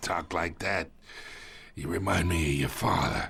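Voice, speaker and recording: In a raspy, very deep, low voice, a man puts on a character voice and talks at a moderate pace. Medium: video game. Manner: smug, taunting, chuckling.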